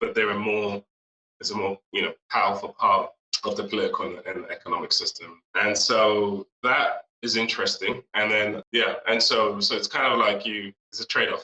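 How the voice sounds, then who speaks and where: In an English accent, a man speaks at a moderate pace. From UK (Nigerian-born, British raised). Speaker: marketing executive. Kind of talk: interview.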